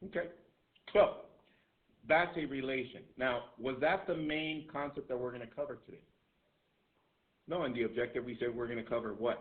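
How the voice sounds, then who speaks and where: With audible room echo, a man talks at a fairly quick pace and a medium pitch. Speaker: math teacher. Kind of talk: classroom lecture. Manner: loud; repetitive, emphatic.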